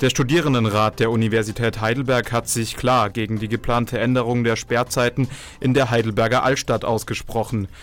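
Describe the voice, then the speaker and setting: The intonation is monotone and flat. The pace is fairly quick. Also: man, medium pitch for a man. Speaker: campus radio host. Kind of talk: news reading; radio talk show. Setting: studio. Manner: live.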